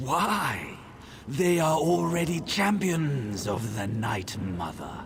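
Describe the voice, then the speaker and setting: A man puts on a character voice at medium pitch. He talks at a very slow pace over clear background noise. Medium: video game. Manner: aloof, commanding.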